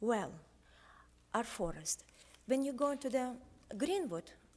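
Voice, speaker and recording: A woman with a non-native accent speaks at a fairly slow pace. Her fairly high voice moves through very wide pitch swings. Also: long, frequent pauses. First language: not English. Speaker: local resident. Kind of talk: public testimony. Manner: simple, halting English.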